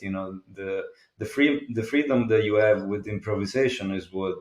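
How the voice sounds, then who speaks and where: A man speaks fairly low with an Italian accent. His intonation is fairly even. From Italy. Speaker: jazz guitarist. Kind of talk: interview. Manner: halting.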